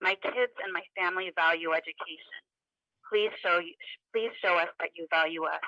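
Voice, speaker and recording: Bright, sharp in tone and fairly low in pitch, a woman talks at a moderate pace with fairly even intonation in a dry, close sound with no echo. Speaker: parent giving public comment. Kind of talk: prepared public comment. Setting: phone call held up to a computer. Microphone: phone held to computer, hard to hear.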